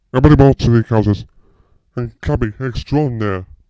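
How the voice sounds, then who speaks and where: A put-on character voice from a man, medium pitch, moderate pace. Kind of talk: cheerful greeting to viewers. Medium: voice reel. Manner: upbeat.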